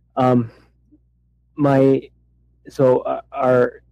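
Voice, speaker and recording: A man talks with an American accent in monotone, flat intonation. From Michigan. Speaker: caller. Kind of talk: Q and A call. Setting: phone call. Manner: halting, many fillers.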